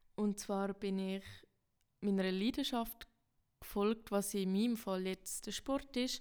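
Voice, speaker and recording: Speaking very slowly with long, frequent pauses, a woman holds a medium pitch and fairly even intonation. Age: 20s. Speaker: student podcast host. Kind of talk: podcast trailer introduction. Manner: casual, slightly halting.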